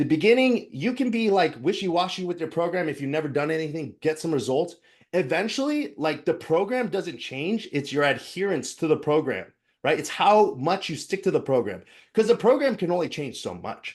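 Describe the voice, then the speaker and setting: Against a quiet background, a man speaks at a high pitch. His intonation is lively. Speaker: fitness coach. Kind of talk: online class presentation. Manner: fast; casual, filler-heavy.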